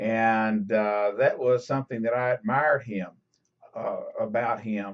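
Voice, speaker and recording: The man talks very slowly. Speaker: political vlogger. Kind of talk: webcam commentary monologue. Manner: halting, many fillers and repetitions.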